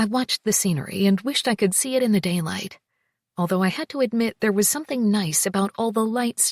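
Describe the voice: A quiet background frames this plain reading aloud, which carries ordinary pitch variation.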